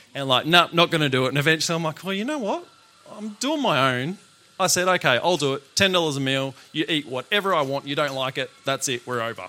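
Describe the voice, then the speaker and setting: The speaker talks at a very fast pace in an Australian accent, with ordinary pitch variation. Noticeable background noise is present. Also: man, fairly high pitch for a man. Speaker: chef and food business owner. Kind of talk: talk to live audience.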